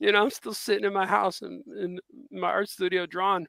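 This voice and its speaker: Animated and bright, sharp in tone, a man projects a raised voice at a high pitch and a fairly quick pace. The sound is dry and close, with no echo. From US Midwest, South Side Chicago. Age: 50s. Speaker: comic book artist. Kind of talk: casual interview chat. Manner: animated, halting with repetitions.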